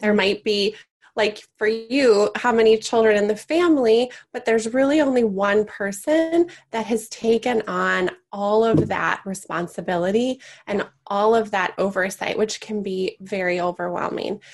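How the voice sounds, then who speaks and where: An unremarkable speaking voice, a woman with a fairly high pitch, ordinary pitch variation and a moderate pace. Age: 40s. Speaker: podcast host and elder care resource founder. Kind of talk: interview.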